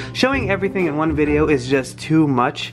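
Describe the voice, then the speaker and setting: Fairly quick speech over clear music in the background. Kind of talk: casual vlog chat. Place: home room. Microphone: phone near.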